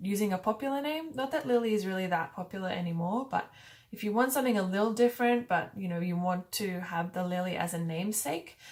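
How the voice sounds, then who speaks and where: A woman's medium-pitched voice, very fast and with lively intonation. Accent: Australian. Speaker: YouTuber. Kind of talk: casual talk to camera. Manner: casual, hesitant with fillers.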